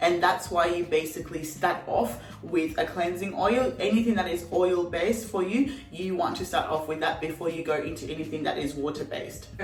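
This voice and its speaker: Ordinary pitch variation, a moderate pace and hardly any pauses, over noticeable background noise. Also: woman, fairly low pitch for a woman. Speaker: beauty vlogger. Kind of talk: tutorial. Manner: casual, chatty.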